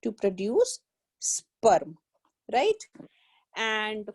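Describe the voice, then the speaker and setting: A woman with an Indian accent, dry and close with no echo. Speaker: biology tutor. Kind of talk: online lecture. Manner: slow.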